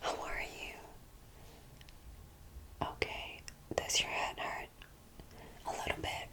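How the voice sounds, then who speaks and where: Noticeable background noise fills the clip. Through it, a woman whispers very slowly. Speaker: ASMR creator. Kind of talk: ASMR medical roleplay. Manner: whispered, soft-spoken.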